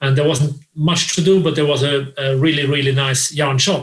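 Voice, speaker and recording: A man's fairly high, somewhat breathy voice at a moderate pace, with fairly even intonation. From Austria, Vienna. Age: 40s. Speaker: crochet designer and blogger. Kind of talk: interview. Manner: halting, many repetitions.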